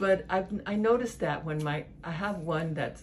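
This woman's voice is somewhat breathy. There is light background noise. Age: 60s. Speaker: patient. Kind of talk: interview answer. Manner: casual, conversational. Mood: warm, relieved, chatty. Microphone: phone near.

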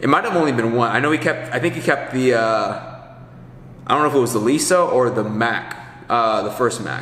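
A man talks at medium pitch in a bright, sharp tone. His pitch varies in an ordinary way. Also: moderate pace.

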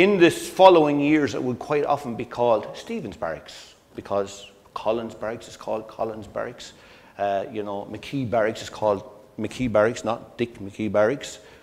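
The speaker talks at a moderate pace with lively intonation. The loudness swings widely. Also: man. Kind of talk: lecture. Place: hall. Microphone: lapel.

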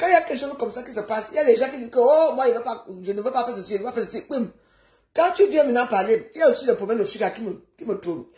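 Against a quiet background with audible room echo, a woman talks very fast in an animated tone, her pitch swinging very widely and her loudness rising and falling sharply. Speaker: social media live streamer. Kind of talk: casual rant. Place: home room. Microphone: phone near.

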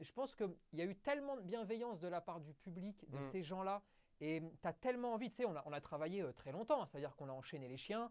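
The background stays quiet. A man speaks very fast, his pitch swinging very widely. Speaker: guest. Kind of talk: casual interview conversation. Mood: enthusiastic, storytelling. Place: studio. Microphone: lapel.

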